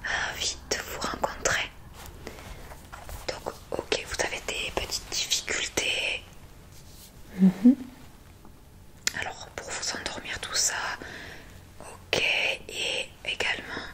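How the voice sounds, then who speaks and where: A woman whispers at a very slow pace, with long, frequent pauses. Noticeable background noise runs underneath. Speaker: ASMR creator doing a doctor role-play. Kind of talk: ASMR role-play, soft spoken to the listener. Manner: soft-spoken, calm, slow.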